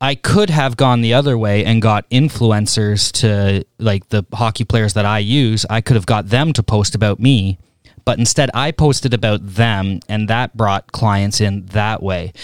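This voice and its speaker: In a dry, close sound with no echo and a very clean recording with a silent background, a man with an ordinary speaking voice talks at a fairly slow pace with fairly low pitch, ordinary pitch variation and hardly any pauses. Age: 30s. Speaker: podcast co-host, hockey coach. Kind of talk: casual interview. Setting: hockey training facility.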